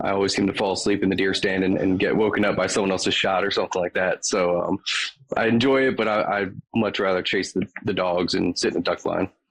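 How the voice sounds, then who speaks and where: Very fast, fairly low male voice with an American accent and fairly even intonation in a dry, close sound with no echo. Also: very even loudness. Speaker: hunter and outdoor writer. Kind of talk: casual podcast interview. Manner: frequent fillers, relaxed.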